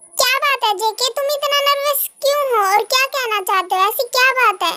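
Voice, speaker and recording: In a put-on character voice, a woman talks fairly quickly, squeaky and extremely high in pitch. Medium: fan dub. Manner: lively, expressive.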